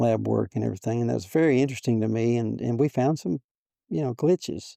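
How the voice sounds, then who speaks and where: In a dry, close sound with no echo, a man with a dark, mellow tone and medium pitch talks at a very fast pace with ordinary pitch variation. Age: 70s. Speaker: triathlete. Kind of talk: interview answer.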